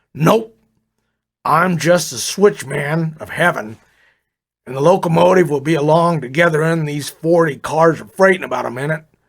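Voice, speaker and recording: A man's put-on character voice, raspy and gruff, fairly high-pitched, with ordinary pitch variation, a moderate pace and big swings in loudness. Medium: read story. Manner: folksy, easygoing.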